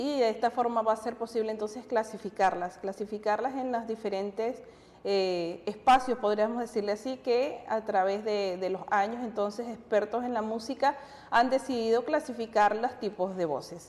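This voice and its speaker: Fairly high in pitch, a woman speaks with an ordinary speaking voice at a moderate pace. Her intonation is fairly even. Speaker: TV music program co-host. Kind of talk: educational TV talk show.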